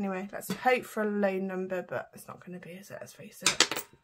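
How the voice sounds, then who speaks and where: Talking at a fairly quick pace in a British accent, a woman keeps a monotone, flat intonation while noticeable background noise runs underneath. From UK. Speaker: budgeting vlogger. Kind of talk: casual vlog tutorial. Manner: chatty, talking while counting. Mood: cheerful, pleased. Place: home room. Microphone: phone near.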